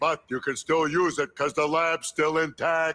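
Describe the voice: A man does a cartoonish character voice at a fairly high pitch, with monotone, flat intonation and a moderate pace.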